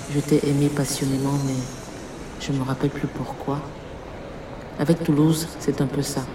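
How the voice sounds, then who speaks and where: A woman speaks in a very deep, low voice with monotone, flat intonation. Noticeable background noise runs under her. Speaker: poet. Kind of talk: poetry reading. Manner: slow.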